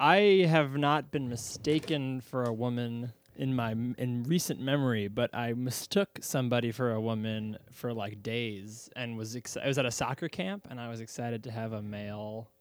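An American-accented man with an ordinary speaking voice, medium pitch, ordinary pitch variation, a moderate pace and hardly any pauses, in a very clean recording with a silent background. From central Pennsylvania. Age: young.

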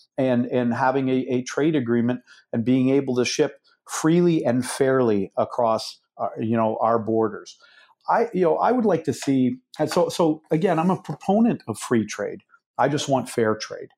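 Lively intonation marks this speech, delivered at a moderate pace. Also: man, medium pitch for a man. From Canada. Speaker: CEO of a steel manufacturer. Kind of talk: interview. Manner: repetitive, halting starts.

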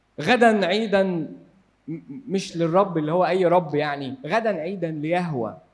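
In a room with audible echo, a man speaks with a high pitch and ordinary pitch variation. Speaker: Bible teacher. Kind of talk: Bible study lecture.

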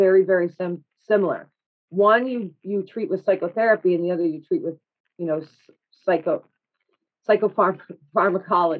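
Here is a woman with an unremarkable speaking voice at a medium pitch. She moves at a moderate pace with lively intonation. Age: 30s. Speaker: podcast guest sharing mental health experiences. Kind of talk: casual interview chat.

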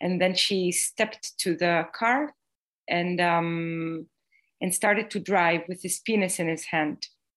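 With an Israeli accent, a woman speaks very slowly in a fairly low pitch, her pitch varying in an ordinary way. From Israel, Jerusalem. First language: Hebrew. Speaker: playwright. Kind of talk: interview. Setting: video call. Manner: halting.

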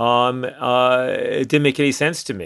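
The voice comes with a New York accent against a quiet background. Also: man. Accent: New York area American. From US, New York City suburbs. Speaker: drug policy activist. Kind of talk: interview. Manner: halting.

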